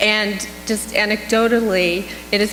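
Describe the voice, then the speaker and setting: Over music in the background and audible room echo, a woman with an American accent talks with fairly even intonation. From California. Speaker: psychedelics clinical researcher. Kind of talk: conference Q&A.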